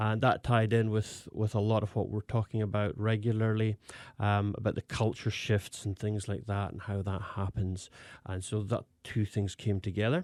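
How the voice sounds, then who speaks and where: With a Scottish accent, a man speaks at a moderate pace and fairly low pitch with fairly even intonation, in a very clean, silent-background recording that sounds dry and close with no echo. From Scotland. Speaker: pastor. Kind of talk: interview. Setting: studio. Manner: halting, with many fillers.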